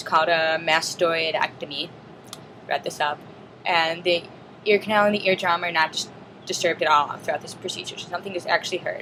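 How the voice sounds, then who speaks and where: A woman with a fairly low pitch talks at a fairly quick pace in a monotone, flat way, with big swings in loudness, long, frequent pauses and noticeable background noise. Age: 20s. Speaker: student; deaf cochlear implant recipient. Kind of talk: casual video log talk to camera.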